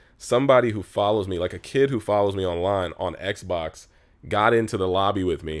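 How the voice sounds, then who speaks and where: A man with an American accent speaks at a fairly quick pace. His voice is fairly low, with ordinary pitch variation. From Los Angeles, San Fernando Valley. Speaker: YouTuber and comedian. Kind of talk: casual chat.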